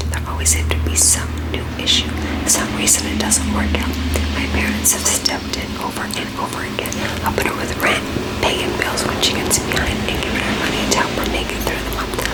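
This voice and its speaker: Over music in the background, someone whispers at a fairly quick pace. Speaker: ASMR reader of online stories. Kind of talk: ASMR story reading. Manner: whispered.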